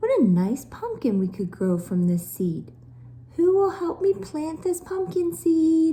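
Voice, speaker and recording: A woman puts on a character voice, high-pitched and swinging very widely in pitch. She takes it at a fairly slow pace. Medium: read story.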